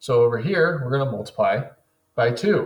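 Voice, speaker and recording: This man's somewhat breathy voice moves along at a moderate pace. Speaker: teacher. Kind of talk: tutorial. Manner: instructional.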